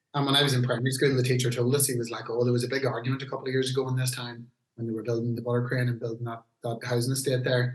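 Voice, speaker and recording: A man with a Northern Irish accent talks at a very fast pace. His medium-pitched voice has monotone, flat intonation. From Northern Ireland, Newry, County Down. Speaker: heavy metal singer. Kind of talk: casual podcast interview.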